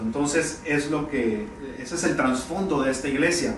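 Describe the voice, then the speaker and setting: A man speaks with ordinary pitch variation. Audible room echo and noticeable background noise accompany him. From Mexico, Tampico, Tamaulipas. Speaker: pastor. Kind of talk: sermon. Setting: church. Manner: halting.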